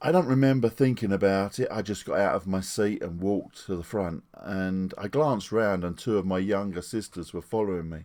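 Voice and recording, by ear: Low-pitched and slightly mellow, a man talks at a moderate pace with few pauses and ordinary pitch variation.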